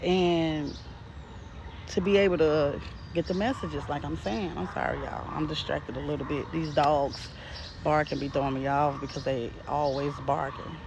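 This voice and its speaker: The speech moves at a moderate pace while noticeable background noise is present. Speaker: spiritual message reader. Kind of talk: casual spiritual message to viewers. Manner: unrehearsed, stuttering at times.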